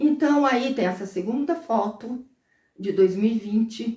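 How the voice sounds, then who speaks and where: Dark and mellow in tone, a woman speaks with lively intonation. Her pace is very slow. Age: 60s. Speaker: lifestyle vlogger. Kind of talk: casual vlog monologue. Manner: conversational, with fillers.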